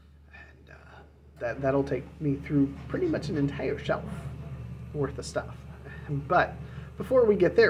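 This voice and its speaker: A man at a fairly slow pace, with light background noise. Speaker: book collector vlogger. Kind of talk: casual vlog chat. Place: home room. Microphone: phone near.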